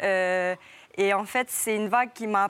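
On a very clean recording with a silent background, a woman with a plain, everyday voice speaks at a fairly slow pace with fairly even intonation. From French Polynesia. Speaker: professional surfer. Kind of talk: TV interview.

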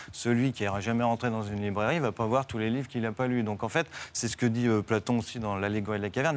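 At a very fast pace, a man is talking. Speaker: philosophy teacher. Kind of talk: TV debate.

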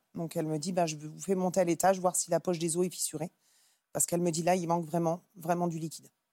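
A woman speaks with monotone, flat intonation. Her voice sits fairly low in pitch. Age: 30s. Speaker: mother sharing difficult pregnancy. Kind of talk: testimony.

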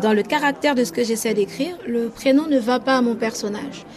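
Over noticeable background noise, a woman talks at a moderate pace with a high pitch and ordinary pitch variation. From French Guiana. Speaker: interviewee. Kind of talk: interview.

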